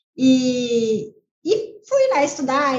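Audible room echo surrounds a woman speaking in a high voice. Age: 30s. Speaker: sales team leader. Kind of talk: podcast interview.

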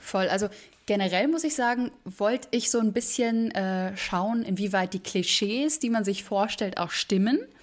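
A woman has an ordinary speaking voice, fairly high in pitch with ordinary pitch variation. She talks at a fairly slow pace with very even loudness. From Berlin, Germany. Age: 20s. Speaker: musical theatre performer. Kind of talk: interview.

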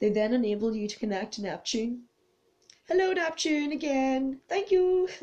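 At a moderate pace, a woman with a high pitch and very wide pitch swings has a dark, mellow tone that is also warm and soothing. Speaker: tarot and oracle card reader. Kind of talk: spiritual card reading with read-out card texts. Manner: occasionally stumbling over words.

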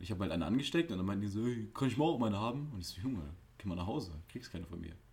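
A man talks very fast in a fairly low, somewhat breathy voice. His pitch swings very widely. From Germany. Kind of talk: casual chat. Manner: animated.

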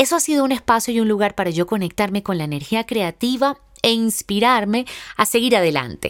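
Her pitch is fairly high and her intonation lively as this woman speaks at a fairly quick pace. The recording is very clean, with a silent background. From Venezuela. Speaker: podcast host and actress. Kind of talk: personal monologue.

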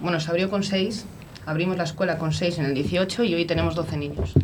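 Noticeable background noise sits under a woman's voice. She talks very fast in a fairly low pitch with fairly even intonation. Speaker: mayor and provincial vice-president. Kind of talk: casual radio interview.

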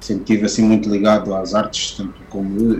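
A man with a fairly low pitch speaks in a monotone, flat intonation while music plays in the background. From Portugal (left Angola at age 7). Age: 30s. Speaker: tattoo artist. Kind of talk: casual interview. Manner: halting, many fillers and repetitions.

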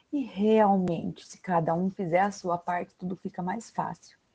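A woman talks at a fairly slow pace in a medium pitch. Her voice is somewhat breathy, with a dark, mellow tone. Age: 30s. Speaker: podcast host, parental educator. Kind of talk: casual chat. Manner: animated.

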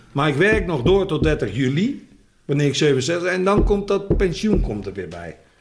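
Very wide pitch swings and vocal fry from a man pitched fairly high, at a moderate pace. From Netherlands, Rotterdam. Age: 60s. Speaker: former footballer and coach. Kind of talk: casual chat.

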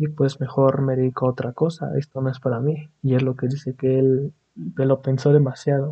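At a moderate pace, a man with a Mexican accent speaks at a medium pitch in a monotone, flat way. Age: 20s. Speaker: podcast host, aspiring animator. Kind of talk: casual monologue. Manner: halting, many fillers.

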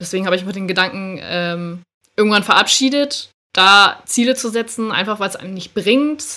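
A woman talks at a fairly quick pace with lively intonation. Her medium-pitched tone is bright and sharp. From northern Germany, Schleswig-Holstein. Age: 20s. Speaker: amateur K-pop dancer. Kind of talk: casual chat.

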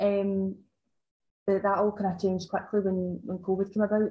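With a Scottish accent, a woman talks at a fairly quick pace in a monotone, flat intonation. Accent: Scottish (Ayrshire). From Scotland, Ayrshire. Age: 20s. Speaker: farm shop owner. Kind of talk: casual chat. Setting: in person.

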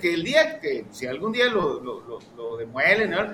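Raising and projecting his voice, a man speaks at a high pitch and a moderate pace. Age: 60s. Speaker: historian. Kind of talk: casual chat.

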